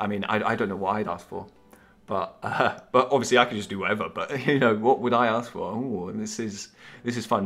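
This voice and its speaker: At a fairly quick pace, a man with an English accent talks in a medium pitch with fairly even intonation. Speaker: app developer. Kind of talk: project update vlog. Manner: halting, many fillers.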